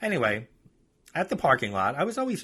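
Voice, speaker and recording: Bright and sharp in tone, a man with a New York accent speaks at a fairly quick pace with ordinary pitch variation in a very clean recording with a silent background. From New York, Long Island. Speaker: podcast host and author. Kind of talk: casual podcast talk; reading aloud from own book.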